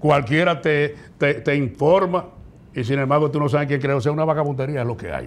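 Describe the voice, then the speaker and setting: A man talks at a very fast pace. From Dominican Republic, La Vega; Dominican Republic. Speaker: professional radio announcer. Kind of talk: casual interview. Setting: studio. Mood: critical, indignant at times. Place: studio. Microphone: lapel.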